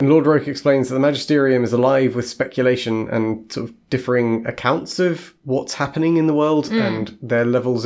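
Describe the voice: Ordinary pitch variation in plain reading aloud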